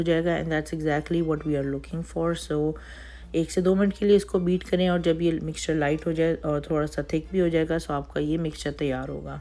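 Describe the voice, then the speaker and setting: At a moderate pace, a woman with a dark, mellow tone speaks in a fairly low pitch with monotone, flat intonation. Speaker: baking instructor. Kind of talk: tutorial.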